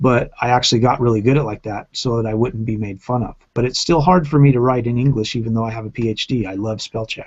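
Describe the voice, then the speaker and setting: A man talks at a very fast pace with hardly any pauses. His medium pitch shows ordinary variation. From Japan, then USA. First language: Japanese. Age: 40s. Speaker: video podcaster. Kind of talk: casual group chat.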